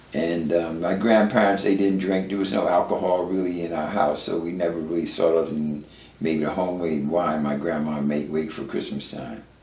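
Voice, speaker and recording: The speaker talks at a moderate pace with ordinary pitch variation. Noticeable background noise and audible room echo come through in the recording. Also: man. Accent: American. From Newark, New Jersey. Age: 70s. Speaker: recovering addict sharing his story. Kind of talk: interview testimony. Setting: at his home, filmed. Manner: halting, many fillers and repeats.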